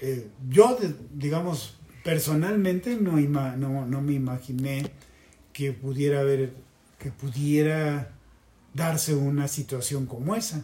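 A man speaks at a very slow pace with long, frequent pauses, his dark, mellow tone somewhat breathy and his pitch varying in an ordinary way. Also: fairly high pitch for a man. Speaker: former student activist. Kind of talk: casual interview. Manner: halting.

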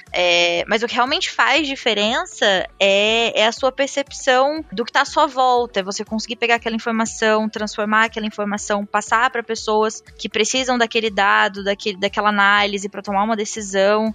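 A woman with an unremarkable speaking voice talks at a moderate pace with hardly any pauses, her fairly high pitch showing ordinary variation. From interior of São Paulo state, Brazil. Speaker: business data analyst. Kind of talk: casual panel conversation.

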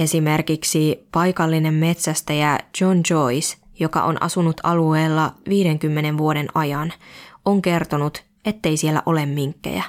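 Very slowly, a woman speaks at a very deep, low pitch, keeping fairly even intonation and very even loudness. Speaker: podcast host. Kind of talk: scripted narration.

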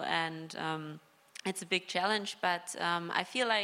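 A woman speaks at a fairly low pitch with a German accent. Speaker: professional footballer. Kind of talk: live panel discussion. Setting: live stage with audience. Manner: hesitant.

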